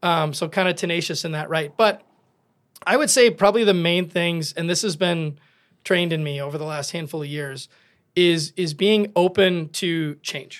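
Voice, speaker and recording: A man with an Upper Midwest accent and a high pitch, at a moderate pace with ordinary pitch variation, on a very clean recording with a silent background. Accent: Upper Midwest (Minnesota). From southern Minnesota, rural. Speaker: construction company owner. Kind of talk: interview conversation. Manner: energetic.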